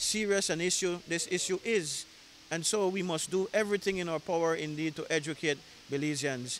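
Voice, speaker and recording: At a moderate pace, a man with a high pitch talks with ordinary pitch variation. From Belize. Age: 30s. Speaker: government minister. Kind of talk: news interview. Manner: halting.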